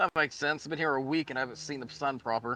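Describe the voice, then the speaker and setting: In a put-on character voice, a man talks gruffly at a very fast pace and medium pitch, the sound dry and close with no echo. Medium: actual play. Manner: gruff, curt.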